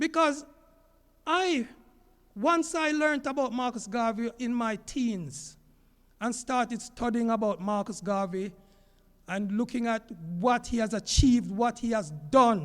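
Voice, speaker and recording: Over a very clean, silent background, a man with an extremely high pitch speaks at a fairly slow pace with lively intonation and long, frequent pauses. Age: 60s. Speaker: teacher. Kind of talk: public talk.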